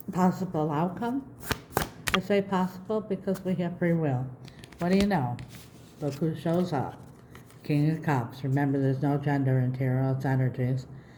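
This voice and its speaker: Long pauses come often in this moderately paced speech, with background noise clearly present. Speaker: tarot reader. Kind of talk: tarot reading. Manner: casual, conversational.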